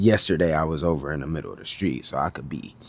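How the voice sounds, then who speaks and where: The voice is quiet. The words come out mumbled. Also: man. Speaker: video blogger. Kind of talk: casual monologue. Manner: mumbling, quiet.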